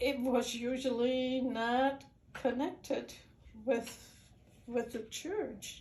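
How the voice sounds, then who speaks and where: Against audible room echo, a woman speaks very slowly at a high pitch with fairly even intonation and long, frequent pauses. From Netherlands. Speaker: immigrant sharing life story. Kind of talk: personal storytelling.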